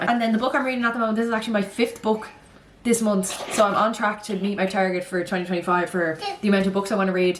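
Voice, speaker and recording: A woman talking very fast in an animated tone, with ordinary pitch variation, audible room echo and noticeable background noise. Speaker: lifestyle vlogger. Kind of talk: casual vlog chat.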